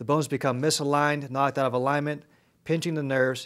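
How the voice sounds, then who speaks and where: A man talks at a fairly high pitch. His pace is fairly quick. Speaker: chiropractor. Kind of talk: infomercial presentation explaining spine models and x-rays.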